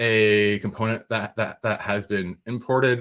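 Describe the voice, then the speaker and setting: A man speaks at a fairly low pitch. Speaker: software developer teaching a workshop. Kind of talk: technical workshop tutorial. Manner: halting, repeats words. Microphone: new microphone instead of built-in laptop mic.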